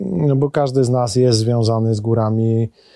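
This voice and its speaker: With music in the background, a man of medium pitch speaks at a very slow pace with ordinary pitch variation. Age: 40s. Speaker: mountain rescuer. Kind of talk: interview. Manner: halting, with many repeated words.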